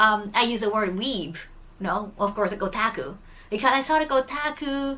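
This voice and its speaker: A woman's fairly high-pitched voice with lively intonation, against noticeable background noise. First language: Japanese. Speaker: streamer. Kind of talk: casual chat. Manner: hesitant, many fillers.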